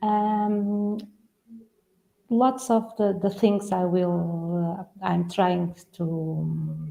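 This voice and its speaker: Over music in the background, the speech moves at a very slow pace with fairly even intonation. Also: woman, medium pitch for a woman. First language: Portuguese. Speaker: real estate consultant. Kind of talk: webinar panel talk. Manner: halting.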